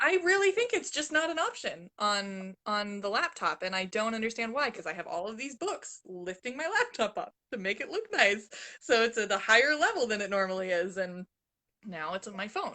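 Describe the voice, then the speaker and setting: Loud and bright with a sharp tone, a woman speaks at a moderate pace with very wide pitch swings against a quiet background. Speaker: channel host. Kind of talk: casual chat.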